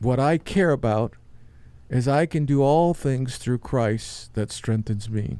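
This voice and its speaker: In a very clean recording with a silent background, a man speaks at medium pitch and a very slow pace, his dark, mellow tone carrying ordinary pitch variation. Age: 70s. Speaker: podcast host, long-distance walker. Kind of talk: testimony. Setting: studio.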